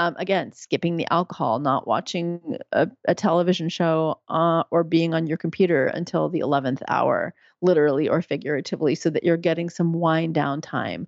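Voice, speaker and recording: In an ordinary speaking voice with an American accent, a woman speaks at a moderate pace with hardly any pauses, her fairly low pitch held in fairly even intonation. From US, New York City. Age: 50s. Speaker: physician and midwife. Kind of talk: interview.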